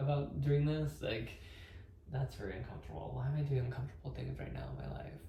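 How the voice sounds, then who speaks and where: A man mumbles at a fairly quick pace. Room echo is audible. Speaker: vlogger sharing sobriety journey. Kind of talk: personal vlog monologue. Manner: mumbling; halting, hesitant.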